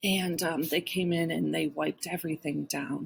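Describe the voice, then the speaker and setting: A woman's fairly slow, somewhat breathy delivery. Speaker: schoolteacher. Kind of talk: remote class lesson. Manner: casual, chatty.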